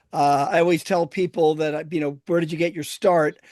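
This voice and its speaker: Against a quiet background, a man with an American accent talks in a normal speaking voice, fairly high in pitch, at a fairly quick pace with fairly even intonation. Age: 60s. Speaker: historian and tour guide. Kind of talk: casual chat.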